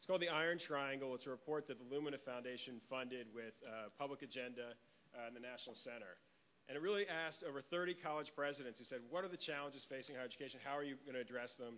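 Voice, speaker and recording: At a very fast pace, a man speaks at medium pitch in a bright, sharp tone with ordinary pitch variation. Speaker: foundation program officer, panel moderator. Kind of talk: conference panel introduction. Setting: conference hall, near noisy hallway. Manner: projecting.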